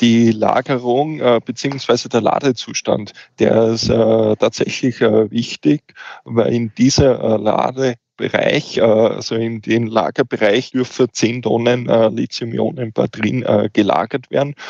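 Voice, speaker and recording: A man with a medium pitch speaks at a very slow pace and fairly even intonation. The sound is dry and close, with no echo. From eastern Austria, Wiener Neustadt. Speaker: fire safety officer. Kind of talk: podcast interview.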